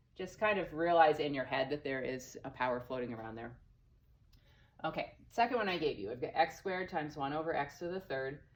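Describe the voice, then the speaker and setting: A woman's very deep, low voice at a fairly quick pace, lively in intonation, with audible room echo. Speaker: math teacher. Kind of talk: recorded lesson. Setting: empty classroom. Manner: fast; casual.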